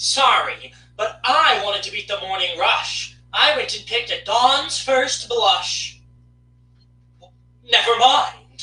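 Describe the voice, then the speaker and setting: This put-on character voice is high-pitched and cheerful in tone, moving at a fairly slow pace. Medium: read story. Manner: cheerful, rhyming.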